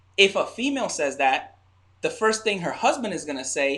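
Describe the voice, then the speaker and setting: Raising and projecting his high voice, a man sounds bright and sharp, with very wide pitch swings. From a Caribbean island. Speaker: married couple podcast co-host. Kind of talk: casual relationship chat.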